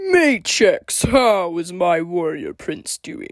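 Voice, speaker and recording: A growling put-on character voice at a fairly high pitch and a very slow pace. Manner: warm, proud.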